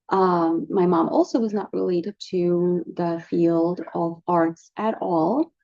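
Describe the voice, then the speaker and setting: The speaker is a woman. She talks in a Russian accent. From Russia, Moscow. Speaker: artist, painter. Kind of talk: casual vlog monologue and Q&A. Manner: hesitant, many fillers.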